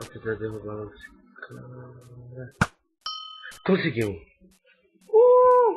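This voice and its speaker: A man talks quietly at a very slow pace. Long, frequent pauses break up his speech. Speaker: gaming youtuber. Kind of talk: casual gameplay commentary.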